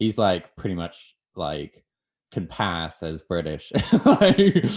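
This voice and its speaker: A man speaks very slowly at a very deep, low pitch with a strong American accent and fairly even intonation. The recording is very clean, with a silent background. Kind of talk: casual chat.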